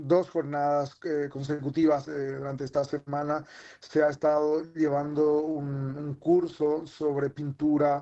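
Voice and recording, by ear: Speaking at a fairly slow pace, a man uses a fairly high pitch with little pitch movement and a dark, mellow tone.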